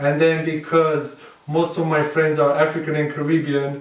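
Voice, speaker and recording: A man speaks at a moderate pace in a fairly high pitch, his intonation monotone and flat. Noticeable background noise and audible room echo accompany the recording. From Romania. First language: Romanian. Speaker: dancehall dancer. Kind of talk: casual chat.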